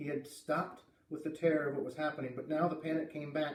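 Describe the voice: A man talks at a fairly quick pace with a fairly high pitch. Audible room echo is present. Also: slightly mellow tone.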